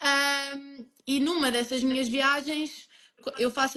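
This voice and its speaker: A woman's high-pitched voice, fairly even in intonation, at a fairly slow pace. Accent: Lisbon. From Portugal, Lisbon. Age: 20s. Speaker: emigrant interviewee. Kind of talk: interview.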